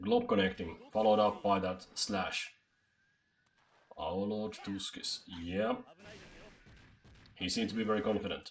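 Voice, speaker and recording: The man's delivery is fairly slow. Long pauses come often. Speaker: streamer and tournament commentator. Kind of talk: live commentary. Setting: live stream. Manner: loud, screaming; animated.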